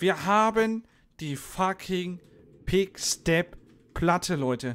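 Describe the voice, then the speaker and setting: Ordinary pitch variation at a very slow pace. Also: man. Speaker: streamer. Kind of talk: casual gaming commentary. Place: home room. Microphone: studio mic.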